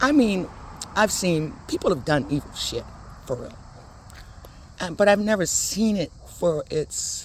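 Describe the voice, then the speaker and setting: A woman at a medium pitch speaks with very wide pitch swings, big jumps in loudness, and long, frequent pauses. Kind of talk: casual talk to camera while walking.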